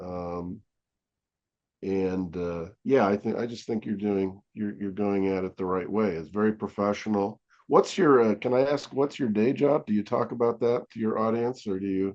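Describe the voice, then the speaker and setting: With ordinary pitch variation, this man uses a normal speaking voice and keeps a moderate pace. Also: fairly low pitch for a man. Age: 60s. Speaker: comic book artist. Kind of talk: casual interview chat.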